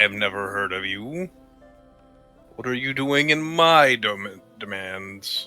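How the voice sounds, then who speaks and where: A booming, put-on character voice speaks at a fairly slow pace with long, frequent pauses. Faint music plays in the background. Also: man, medium pitch for a man. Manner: imperious, demanding.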